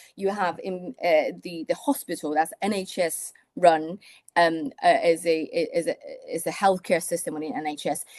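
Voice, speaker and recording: The woman's voice sits fairly low, with ordinary pitch variation at a moderate pace, in a dry, close sound with no echo. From Taiwan. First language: Mandarin. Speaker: surgeon. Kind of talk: interview.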